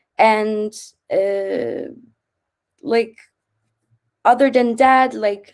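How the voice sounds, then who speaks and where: Her pitch fairly high and varying in an ordinary way, a woman speaks. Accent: Turkish. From Turkey. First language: Turkish. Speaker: former student, PhD student. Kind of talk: webinar talk. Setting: online webinar.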